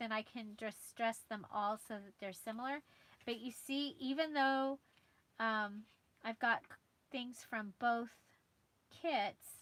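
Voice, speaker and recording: A woman talks very slowly, with long pauses coming often. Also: fairly high pitch for a woman, ordinary pitch variation. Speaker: crafting youtuber. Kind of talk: live stream craft tutorial. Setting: livestream at craft desk, noisy chair. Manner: quiet while working; halting, hesitant. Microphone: phone near.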